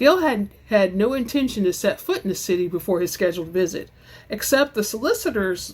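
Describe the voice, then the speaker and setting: Dramatic in tone and somewhat breathy, a woman speaks at a fairly quick pace in a fairly high pitch, her voice swinging very widely up and down. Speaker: audiobook narrator. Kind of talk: dramatic reading of romance novel. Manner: dramatic, expressive.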